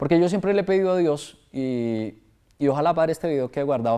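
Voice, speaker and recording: A man speaks at a very fast pace with ordinary pitch variation. His tone is dark and mellow, and the background is quiet. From Colombia, Bogotá and Acacías (Meta); Colombia. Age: 20s. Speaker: media worker and actor; interview guest. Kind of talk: testimony; interview answer. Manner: halting, with many repeated words. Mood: earnest, emotional. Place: studio. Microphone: lapel.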